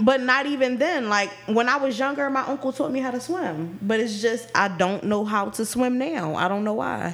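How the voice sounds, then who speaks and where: Speaking at a moderate pace with hardly any pauses, a woman uses lively intonation and a fairly high voice over noticeable background noise. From Philadelphia. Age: 20s. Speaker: podcast co-host. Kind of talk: casual chat.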